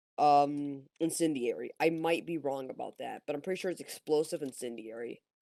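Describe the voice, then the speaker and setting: Hardly any pauses interrupt the speech. Its pace is moderate. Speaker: gaming podcast co-host. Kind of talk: casual chat. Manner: halting, stumbling over words.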